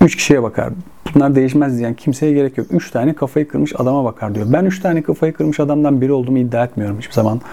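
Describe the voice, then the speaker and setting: A man with a medium pitch talks at a very fast pace with ordinary pitch variation. Noticeable background noise is present. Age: 40s. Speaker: football stats channel host. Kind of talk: solo video monologue.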